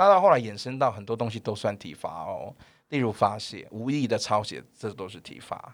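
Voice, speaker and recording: A man with a Taiwanese accent speaks with lively intonation and big swings in loudness, recorded very cleanly against a silent background. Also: medium pitch for a man, moderate pace. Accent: Taiwanese Mandarin. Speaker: primary school English teacher. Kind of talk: casual chat.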